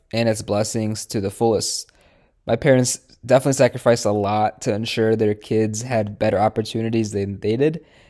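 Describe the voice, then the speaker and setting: In a Midwestern US accent, a man with a dark, mellow tone speaks at medium pitch with fairly even intonation, on a very clean recording with a silent background. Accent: General American, Midwestern. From Michigan, US Midwest. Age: 20s. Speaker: dentist. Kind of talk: recorded self-introduction presentation. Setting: pre-recorded presentation.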